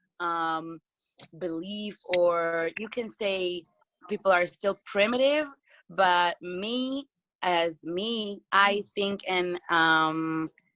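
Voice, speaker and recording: The speaker has a non-native accent and talks at a very slow pace. Pitch varies in an ordinary way. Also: woman, medium pitch for a woman. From Moroccan family background. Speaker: discussion participant. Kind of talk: video call group discussion. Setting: video call. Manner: halting, many fillers.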